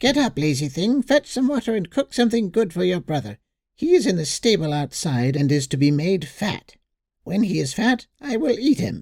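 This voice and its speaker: Shouting in a put-on character voice at a middle pitch, the speaker swings very widely in pitch at a moderate pace. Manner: harsh, cruel shouting.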